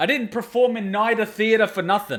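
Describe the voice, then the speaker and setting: A loud man's voice at an extremely high pitch, with ordinary pitch variation. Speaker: anime reaction youtuber. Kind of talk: casual reaction commentary. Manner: clear articulation, projected voice.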